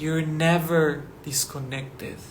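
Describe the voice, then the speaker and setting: With a non-native accent, a man speaks very slowly and with fairly even intonation, over noticeable background noise and audible room echo. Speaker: spiritual teacher. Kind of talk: spiritual talk to camera. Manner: slow, deliberate; casual, many fillers.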